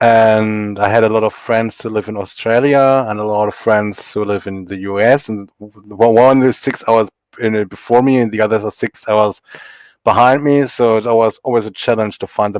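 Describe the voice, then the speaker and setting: In a German accent, a man with a fairly low pitch speaks at a moderate pace with fairly even intonation, the sound dry and close with no echo on a very clean recording with a silent background. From Germany. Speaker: comic artist. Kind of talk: podcast interview.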